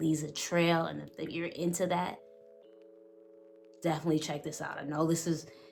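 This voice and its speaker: A woman with an American accent speaks at very deep, low pitch and a moderate pace, with long, frequent pauses. Music plays in the background, and room echo is audible. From New York. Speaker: fragrance reviewer. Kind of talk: product review. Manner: animated.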